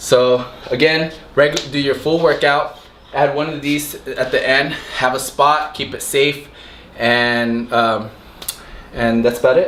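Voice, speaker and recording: There is noticeable background noise. A man speaks with fairly even intonation. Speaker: fitness youtuber. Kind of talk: tutorial. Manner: halting; casual, unscripted.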